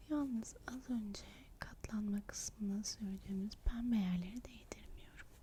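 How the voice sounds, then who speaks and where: At a fairly slow pace, a woman speaks in a fairly high, somewhat breathy voice with a gentle tone. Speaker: makeup artist (roleplay). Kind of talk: ASMR roleplay, soft-spoken makeup application. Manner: soft-spoken, gentle, whispery.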